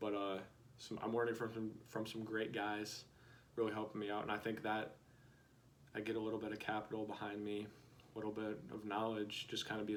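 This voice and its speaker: In an American accent, a man talks fairly quickly with a fairly low pitch and flat, monotone intonation. Room echo is audible. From South Dakota, US Midwest. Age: 20s. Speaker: vlogger. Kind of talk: casual vlog monologue. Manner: halting, many fillers.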